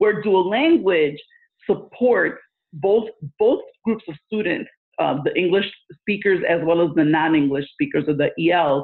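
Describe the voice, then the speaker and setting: The speech comes at a fairly slow pace with a Spanish accent. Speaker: education consultant and former principal. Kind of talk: interview.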